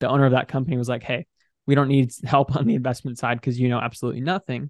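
A man talks at a very fast pace in an American accent, with medium pitch and fairly even intonation. The sound is dry and close, with no echo. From US, Washington State. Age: 20s. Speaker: online business coach. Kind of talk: casual interview.

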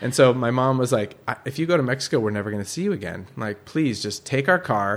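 This man has an American accent and a medium pitch. He talks at a very fast pace. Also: lively intonation. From San Francisco Bay Area, California. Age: 30s. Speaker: oyster farmer. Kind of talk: casual chat. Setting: host's home. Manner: animated.

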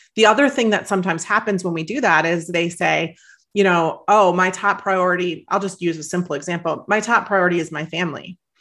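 Against a quiet background, a woman talks in an ordinary speaking voice at a fairly quick pace, her pitch fairly low with ordinary variation. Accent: American. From US Midwest. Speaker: author and life coach. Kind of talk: interview.

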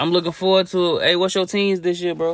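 A man speaks at a high pitch with monotone, flat intonation. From Chicago. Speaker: podcast co-host. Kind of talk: casual chat.

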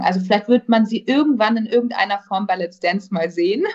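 A woman speaks at a very fast pace with a medium pitch and a somewhat breathy sound. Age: 20s. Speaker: actress. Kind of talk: casual chat.

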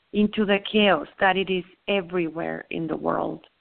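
A woman in a Spanish accent at a very slow pace, with ordinary pitch variation. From southern Mexico. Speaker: spiritual teacher. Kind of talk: spiritual teaching talk. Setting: phone call.

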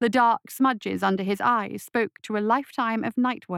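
Ordinary pitch variation in plain reading aloud

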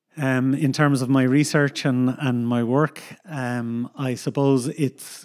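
In a Dublin accent, a man talks at a very slow pace with fairly even intonation. The recording is very clean, with a silent background. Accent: Dublin Irish. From Ireland, Dublin. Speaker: coastal geomorphologist, university researcher. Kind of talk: casual interview.

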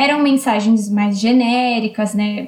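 Fairly slow, fairly high-pitched speech from a woman amid noticeable background noise. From Brazil, São Paulo. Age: 20s. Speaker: spiritist medium and social worker. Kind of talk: interview.

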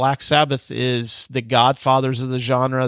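The recording is dry and close, with no echo. A man speaks at a medium pitch. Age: middle-aged. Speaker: podcast host. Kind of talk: solo podcast monologue.

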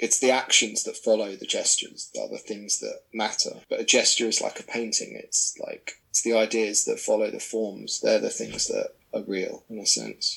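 A man with a southern English accent at a moderate pace, with hardly any pauses and big swings in loudness. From south coast of England. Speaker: artist. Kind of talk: interview.

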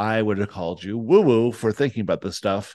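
A normal speaking voice from a man, fairly low in pitch with ordinary pitch variation, against a quiet background. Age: 60s. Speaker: spiritual podcast co-host. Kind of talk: promotional pitch; casual chat.

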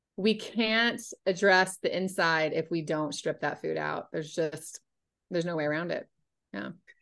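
A woman with a fairly low pitch and an unremarkable speaking voice talks at a moderate pace with ordinary pitch variation over a quiet background. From North Carolina. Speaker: nutrition coach. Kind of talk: casual chat.

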